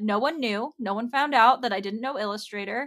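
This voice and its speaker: The voice is loud, with a bright, sharp tone and ordinary pitch variation. The recording is very clean, with a silent background. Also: woman. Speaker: podcast host and graphic designer. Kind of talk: casual solo podcast monologue. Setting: video podcast recording. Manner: loud and talkative.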